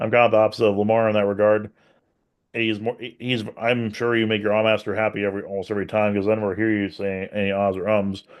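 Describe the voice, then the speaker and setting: A booming voice at a very fast pace with monotone, flat intonation. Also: man, fairly low pitch for a man. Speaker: podcast co-host. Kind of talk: casual podcast discussion.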